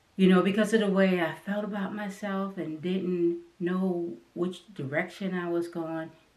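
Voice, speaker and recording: A woman speaks with an American accent at a fairly low pitch. Her pace is moderate, with noticeable background noise behind her. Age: 60s. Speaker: artist and channel host. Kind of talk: personal talk to camera. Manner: halting.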